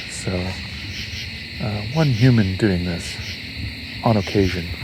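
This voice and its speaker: Soft-spoken and very slow, a man talks at a fairly low pitch with lively intonation, with audible room echo and noticeable background noise. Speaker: nature sound recordist and podcast host. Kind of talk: field recording narration. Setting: outdoors at night in a swamp. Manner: soft-spoken, talks quietly.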